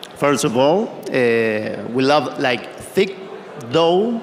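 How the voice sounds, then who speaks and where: Speaking very slowly in a Spanish accent, a man swings his pitch very widely. Noticeable background noise and audible room echo surround him. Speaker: pizza maker. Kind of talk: panel discussion. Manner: halting.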